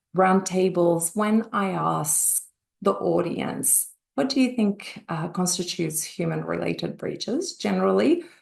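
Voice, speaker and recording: In an Australian accent, a woman speaks at a fairly slow pace. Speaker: industry analyst. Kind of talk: webinar presentation. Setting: online webinar.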